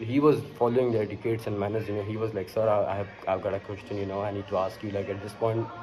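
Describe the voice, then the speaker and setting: Over background music, a man talks very fast in a flat monotone. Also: fairly low pitch for a man, hardly any pauses. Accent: Pakistani. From Pakistan. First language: Urdu. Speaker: vlogger. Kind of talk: casual monologue. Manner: halting, many fillers.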